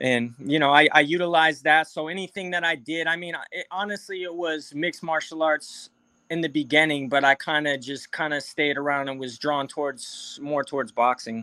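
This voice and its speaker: Using a normal speaking voice, a man with an American accent and fairly high pitch speaks at a moderate pace with fairly even intonation and hardly any pauses. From New London, Connecticut. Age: 30s. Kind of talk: interview. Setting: video call.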